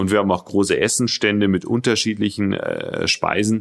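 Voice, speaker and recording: A man is speaking. His pitch is fairly low. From Bavaria, Regensburg. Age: 40s. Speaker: company spokesperson. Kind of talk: interview. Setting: studio. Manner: hesitant, many fillers.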